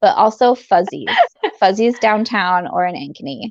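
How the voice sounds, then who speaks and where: This woman has a plain, everyday voice at a medium pitch, with lively intonation and a dry, close sound with no echo. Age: 30s. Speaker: beauty YouTuber and podcaster. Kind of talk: casual chat. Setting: livestream.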